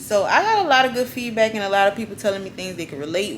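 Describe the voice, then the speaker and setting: At a fairly quick pace, a woman speaks with a medium pitch amid noticeable background noise. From US South, New Orleans. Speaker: YouTuber. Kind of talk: casual vlog talk.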